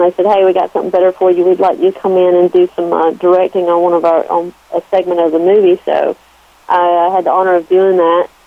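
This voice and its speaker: A woman with a Southern US accent talks at a fairly quick pace. Her pitch is medium. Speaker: actress. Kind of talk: radio interview. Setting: phone call.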